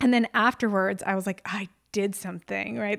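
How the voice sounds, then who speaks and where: A woman with an American accent talks at a moderate pace with ordinary pitch variation, in a normal speaking voice. The recording is very clean with a silent background and a dry, close sound with no echo. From upstate New York. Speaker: podcast host. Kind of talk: casual monologue.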